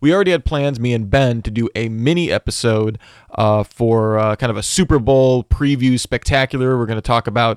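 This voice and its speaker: A man's medium-pitched voice at a fairly quick pace, with ordinary pitch variation and a dry, close sound with no echo, on a very clean recording with a silent background. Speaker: podcast host. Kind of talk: solo podcast update. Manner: casual with filler words.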